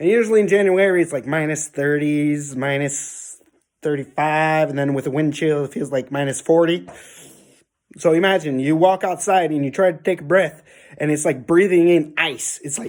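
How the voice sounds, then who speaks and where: The recording is very clean with a silent background. A man speaks at a fairly high pitch with ordinary pitch variation. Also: moderate pace. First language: French. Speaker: YouTuber. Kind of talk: casual vlog. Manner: casual, hesitant with fillers.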